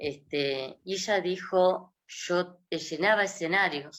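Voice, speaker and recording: The voice belongs to a woman. Her pitch moves with ordinary variation. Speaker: gerontology specialist. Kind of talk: interview.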